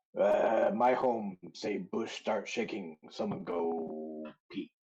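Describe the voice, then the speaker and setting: Doing a put-on character voice, a man speaks very slowly in a raspy tone at a medium pitch. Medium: actual play. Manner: broken grammar, clipped phrases.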